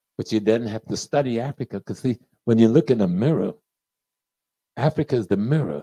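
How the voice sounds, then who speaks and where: Speaking at a fairly quick pace, a man with a medium pitch has a dark, mellow tone and lively intonation. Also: quiet background. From United States. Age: 70s. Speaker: professor and lecturer; professor, lecturer. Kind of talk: lecture. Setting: stage with audience. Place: shop. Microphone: handheld.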